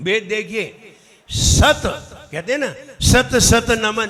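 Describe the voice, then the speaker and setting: Here a man speaks in a high pitch with ordinary pitch variation. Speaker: Jain monk teaching pronunciation. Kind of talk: religious pronunciation class.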